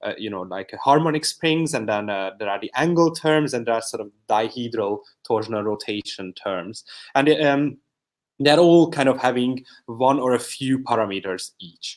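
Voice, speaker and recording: A man at medium pitch and moderate pace, with big swings in loudness, in a very clean recording with a silent background. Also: lively intonation. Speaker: PhD student presenting research. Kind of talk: conference talk. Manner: quiet.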